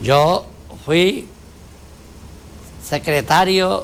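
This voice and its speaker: A man speaks with ordinary pitch variation. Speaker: politician. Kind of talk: interview. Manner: formal.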